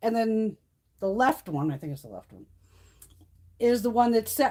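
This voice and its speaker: Lively intonation with an American accent. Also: woman. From Connecticut. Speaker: beauty YouTuber. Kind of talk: casual chat. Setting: live stream. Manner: fast.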